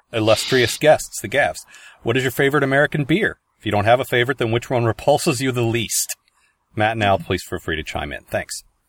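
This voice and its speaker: A man talks at a very fast pace with a medium pitch and ordinary pitch variation. The sound is dry and close, with no echo. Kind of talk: comedy sketch, mock pizza-and-garbage ad improvised with co-host. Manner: giggly, playing along with a mock huckster pitch, breaking into laughter.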